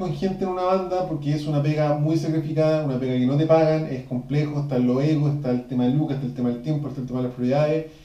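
A man with a Chilean accent talks at a very fast pace. His pitch is fairly high, and there is noticeable background noise. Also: hardly any pauses. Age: 30s. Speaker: podcast host, musician. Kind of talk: casual chat.

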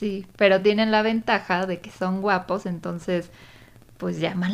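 With vocal fry and ordinary pitch variation, a woman of medium pitch speaks at a fairly slow pace. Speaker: podcast co-host. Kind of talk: casual chat. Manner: animated.

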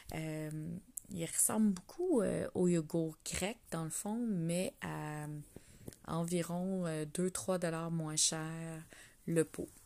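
With a Quebec accent, a woman speaks very slowly in a dark, mellow tone at a fairly low pitch, leaving long, frequent pauses. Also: ordinary pitch variation. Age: 40s. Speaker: wellness coach podcaster. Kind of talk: casual solo monologue. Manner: hesitant with frequent fillers; laughing often.

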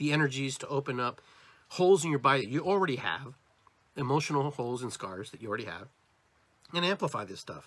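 A man speaks in a plain, everyday voice. His pitch is fairly high and his intonation lively. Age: 50s. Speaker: podcast host, shaman. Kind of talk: solo livestream monologue on spirituality. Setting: livestream on social video platforms. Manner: casual, filler-heavy.

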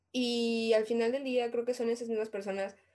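With a Mexican accent, a woman talks at a moderate pace in a fairly high pitch. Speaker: podcast co-host. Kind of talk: casual chat. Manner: animated.

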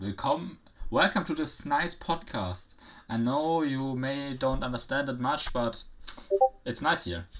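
A man at a fairly slow pace with lively intonation and long, frequent pauses. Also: fairly high pitch for a man. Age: young. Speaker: podcast co-host. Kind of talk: casual chat. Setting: virtual studio.

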